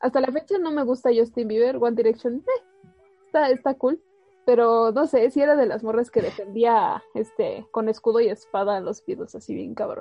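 High-pitched female voice in a Mexican accent, with big swings in loudness, ordinary pitch variation and moderate pace. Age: 20s. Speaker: student radio host. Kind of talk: casual chat.

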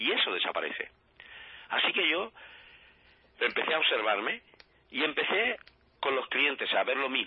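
The speaker keeps a moderate pace, broken by long, frequent pauses. Loudness stays very even over noticeable background noise. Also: man. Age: 50s. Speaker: life coach. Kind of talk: radio interview.

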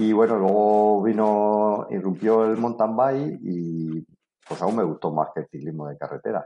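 At a fairly slow pace, this voice carries a dark, mellow tone with ordinary pitch variation. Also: man, fairly low pitch for a man. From Spain, Murcia region. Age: 50s. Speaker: duathlete. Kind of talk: interview.

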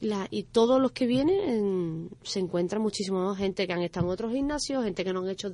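Her tone dark and mellow, a woman speaks at a medium pitch with lively intonation. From Dos Hermanas and Seville, Andalusia. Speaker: athlete and coach. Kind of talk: radio interview.

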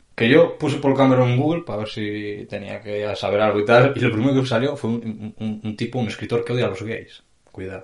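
A man talks at a fairly quick pace with hardly any pauses, using a medium pitch and ordinary pitch variation against a quiet background. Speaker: podcast co-host. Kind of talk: casual chat.

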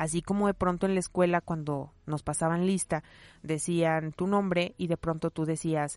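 An ordinary speaking voice belongs to a woman with fairly low pitch. She talks at a moderate pace in a dry, close sound with no echo. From Mexico, León, Guanajuato. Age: 30s. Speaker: podcaster. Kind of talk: casual monologue. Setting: home recording behind a wardrobe.

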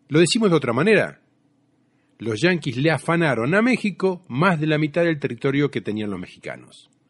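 Against a quiet background, the voice moves at a fairly quick pace with very wide pitch swings. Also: man, fairly high pitch for a man. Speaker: radio host. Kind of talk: radio show with music and news commentary.

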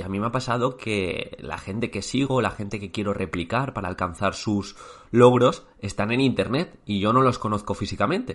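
Against a quiet background, a man talks at a moderate pace in a fairly low pitch with ordinary pitch variation, an ordinary speaking voice. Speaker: teacher and exam coach. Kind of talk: motivational talk.

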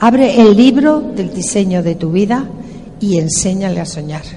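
A woman with a medium pitch and lively intonation speaks at a very slow pace. Audible room echo and noticeable background noise surround her voice. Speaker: motivational speaker. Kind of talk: motivational talk. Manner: animated.

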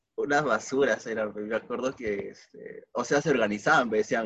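This voice has a Peruvian accent, fairly even intonation and a moderate pace. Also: man. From Peru, Tarma. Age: 20s. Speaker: podcast host. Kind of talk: casual chat.

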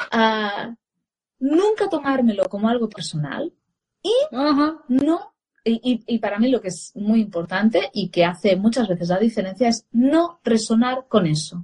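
The speaker's somewhat breathy voice moves at a fairly slow pace with lively intonation, in a dry, close sound with no echo. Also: woman, fairly high pitch for a woman. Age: 40s. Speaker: parenting educator and former radio journalist. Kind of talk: casual live-stream interview.

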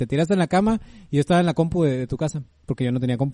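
Dry and close with no echo, the voice has a dark, mellow tone, ordinary pitch variation and a very fast pace. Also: man. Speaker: podcast co-host. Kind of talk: casual chat.

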